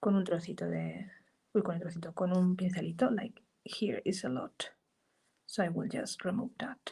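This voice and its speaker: Pitched in a medium range, a woman talks at a moderate pace with a dark, mellow tone, vocal fry and ordinary pitch variation. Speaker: art journaling teacher. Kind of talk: live craft tutorial. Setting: live stream.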